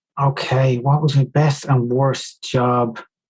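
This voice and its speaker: A man talks in a somewhat breathy voice with an Irish accent. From Ireland, Dunboyne, County Meath. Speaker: speed skier, former seasonal worker. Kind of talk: podcast interview.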